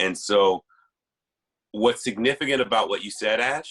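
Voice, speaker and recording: A man's fairly low voice with a bright, sharp tone and an American accent. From Texas. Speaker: panelist. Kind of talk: group discussion. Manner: loud.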